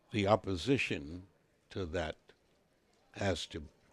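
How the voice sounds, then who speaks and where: A man speaks at a very slow pace in a very deep, low pitch. His voice is somewhat breathy, with ordinary pitch variation. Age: 80s+. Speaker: politician. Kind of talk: interview answer.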